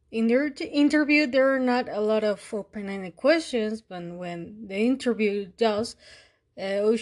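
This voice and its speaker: Moderate pace and ordinary pitch variation from a woman with a fairly high voice. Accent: Mexican. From Mexico. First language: Spanish. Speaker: podcast host. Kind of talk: monologue analysis. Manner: halting with fillers.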